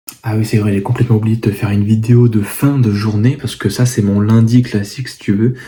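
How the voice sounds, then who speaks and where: Soft-spoken and medium-pitched, a man talks at a fairly quick pace with hardly any pauses. His intonation is monotone and flat. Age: 20s. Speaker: fitness coach and vlogger. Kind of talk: casual vlog to camera. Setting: at home, parents' house. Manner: hesitant, many fillers.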